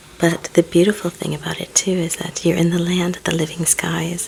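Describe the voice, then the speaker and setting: A soft-spoken voice talks at a moderate pace over noticeable background noise. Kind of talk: ASMR reading and ramble.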